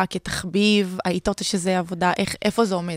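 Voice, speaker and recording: A woman with a plain, everyday voice at medium pitch speaks at a moderate pace, the sound dry and close with no echo. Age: 20s. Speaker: podcast host and travel blogger. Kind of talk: casual interview.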